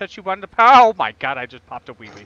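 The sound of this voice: A man with an American accent speaks with a fairly bright tone.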